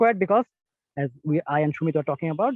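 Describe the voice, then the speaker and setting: A man's fairly high voice, with normal rise and fall in pitch, races along very fast. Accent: Bengali. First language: Bengali. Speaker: physics lecturer. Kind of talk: lecture. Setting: video call, outdoors.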